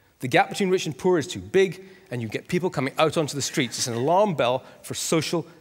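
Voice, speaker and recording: Speaking at a fairly quick pace, a man with a Scottish accent and fairly high pitch makes very wide pitch swings. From Scotland. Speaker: author and economic commentator. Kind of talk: conference talk.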